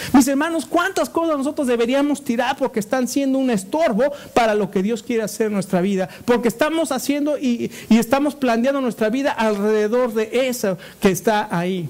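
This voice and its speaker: Over noticeable background noise, a man speaks at a fairly quick pace with an extremely high pitch and ordinary pitch variation. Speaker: pastor. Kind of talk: sermon.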